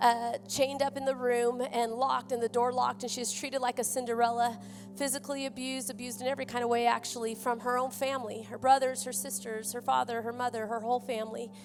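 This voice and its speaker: With a slight Oklahoma accent, a woman talks at a fairly quick pace in a high pitch and a monotone, flat intonation, with music in the background. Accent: slight Oklahoma twang. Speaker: missionary. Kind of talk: sermon. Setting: church.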